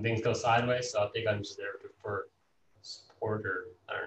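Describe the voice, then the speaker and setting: At a moderate pace, a man speaks with an American accent in a somewhat breathy voice. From Dallas, Texas, after early childhood in Los Angeles. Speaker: real estate investor. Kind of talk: casual interview.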